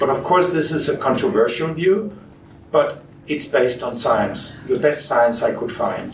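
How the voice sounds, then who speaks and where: There is audible room echo and noticeable background noise as a man speaks with a Danish accent. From Denmark. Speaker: physician and researcher. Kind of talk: interview.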